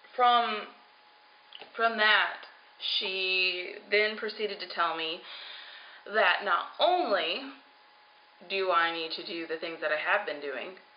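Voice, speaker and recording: Very slow speech with long, frequent pauses, ordinary pitch variation and big jumps in loudness, plus noticeable background noise and audible room echo. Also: woman, medium pitch for a woman. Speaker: vlogger on weight loss surgery journey. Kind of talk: personal video diary.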